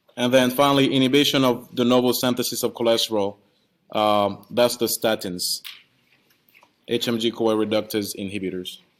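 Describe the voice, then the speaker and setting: A man with a non-native accent, medium pitch, moderate pace and fairly even intonation. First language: not English. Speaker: pharmacy professor. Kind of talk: lecture. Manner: hesitant, with repeated words.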